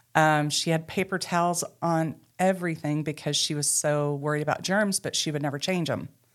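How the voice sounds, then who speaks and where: A woman with an Arkansas accent, very deep low pitch, fairly quick pace and fairly even intonation, on a very clean recording with a silent background. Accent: Southern US (Arkansas). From US South, western Arkansas. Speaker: ministry co-founder sharing life story. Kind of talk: testimony.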